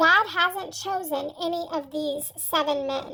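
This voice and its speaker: The speaker uses a put-on character voice, pitched high and delivered at a fairly slow pace. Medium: read story.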